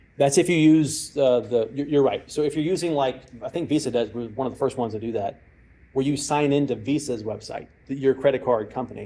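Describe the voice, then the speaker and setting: A man with a Texan accent, dark, mellow tone, ordinary pitch variation and fairly quick pace. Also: medium pitch for a man. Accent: Texan, persistent. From Texas. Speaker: cyber security expert and former hostage negotiator. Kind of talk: lecture with audience Q&A.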